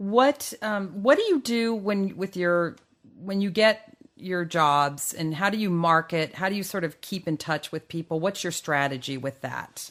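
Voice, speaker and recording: In a very clean recording with a silent background, a woman with a normal speaking voice and fairly low pitch talks at a fairly slow pace with lively intonation. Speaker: podcast interviewer. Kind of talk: interviewer questions.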